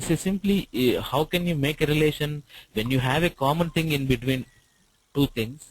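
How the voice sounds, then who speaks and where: A man with an Indian accent, fairly high-pitched and somewhat breathy, at a moderate pace with ordinary pitch variation and very even loudness. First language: Telugu. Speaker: IT trainer. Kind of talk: online tutorial class. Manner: hesitant, many fillers.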